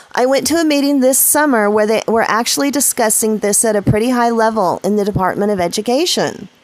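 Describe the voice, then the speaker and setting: With hardly any pauses, a woman talks at a very fast pace in a fairly high voice with lively intonation over noticeable background noise. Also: very even loudness. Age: 50s. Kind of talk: casual opinion talk to camera.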